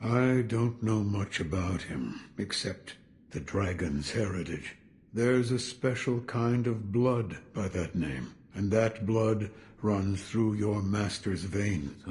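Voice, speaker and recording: Putting on a character voice, a man speaks with a fairly low pitch and ordinary pitch variation. His pace is fairly slow. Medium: video game. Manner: terse, guarded, low-key.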